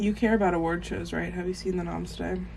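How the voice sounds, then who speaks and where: A woman's voice with audible room echo. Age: 20s. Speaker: vlogger and college student. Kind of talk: casual vlog.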